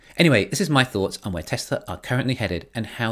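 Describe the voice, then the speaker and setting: The background stays quiet. Only a man's voice is heard. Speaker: commentator on company strategy. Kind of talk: commentary. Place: home room.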